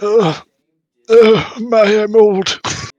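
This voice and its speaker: A man's put-on character voice at a high pitch. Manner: groaning.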